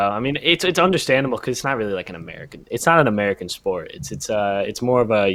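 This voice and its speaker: A man's voice with very wide pitch swings. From Israel, then US. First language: Hebrew. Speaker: YouTuber, former college athlete. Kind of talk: casual interview chat. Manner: halting, many fillers.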